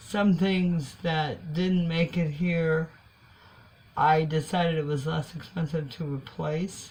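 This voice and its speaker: Very slowly, a woman speaks in a somewhat breathy voice with a very deep, low pitch. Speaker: vlogger living in a tiny house. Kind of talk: casual talk to camera.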